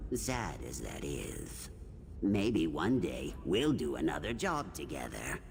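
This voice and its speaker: Man's put-on character voice at a very deep, low pitch over loud background noise. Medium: video game. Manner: deadpan, sardonic.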